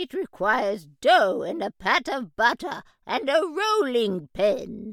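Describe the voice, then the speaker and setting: A woman growls through a put-on character voice, pitched high and swinging very widely in pitch at a fairly slow pace. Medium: audio drama. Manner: bossy, brisk.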